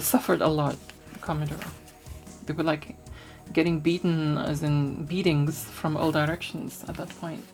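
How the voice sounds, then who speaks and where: Over music in the background, a woman with a very deep, low pitch speaks in a relaxed tone with fairly even intonation. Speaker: retro tech YouTuber. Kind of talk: ASMR magazine flip-through talk. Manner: relaxed, soft-spoken.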